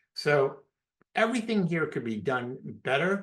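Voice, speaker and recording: With an animated tone, a man speaks at a moderate pace. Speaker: marketing consultant. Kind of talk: webinar presentation. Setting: live webinar.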